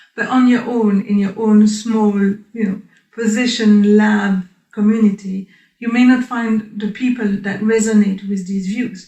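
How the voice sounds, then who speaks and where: Somewhat breathy, this woman's voice carries a dark, mellow tone. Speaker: research scientist, group leader. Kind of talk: interview.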